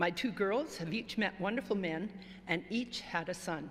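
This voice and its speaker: A woman with a somewhat breathy voice speaks at a moderate pace with ordinary pitch variation. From Northern Ontario. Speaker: retired club member. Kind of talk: reading aloud.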